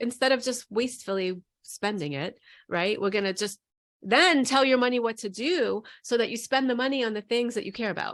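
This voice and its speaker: A woman speaks at a fairly quick pace with a fairly high pitch. Her tone is animated and her intonation lively, on a very clean recording with a silent background. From New York. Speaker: money coach. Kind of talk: interview.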